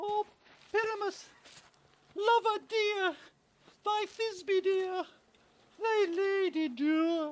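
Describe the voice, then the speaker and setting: A squeaky, extremely high-pitched put-on character voice speaks at a very slow pace, with long, frequent pauses. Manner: theatrical, mock-tragic.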